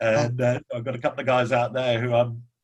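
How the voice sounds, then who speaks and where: The man's voice sits at a medium pitch. He talks at a moderate pace with monotone, flat intonation. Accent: English. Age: 60s. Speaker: engineering business executive. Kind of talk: podcast interview. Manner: halting, many fillers.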